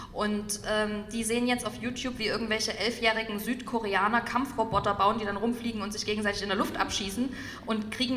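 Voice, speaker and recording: A fairly high-pitched woman's voice at a fairly quick pace, with audible room echo and noticeable background noise. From Saxony, eastern Germany (Dresden). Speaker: former party politician and author. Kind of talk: public talk interview. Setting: stage with audience.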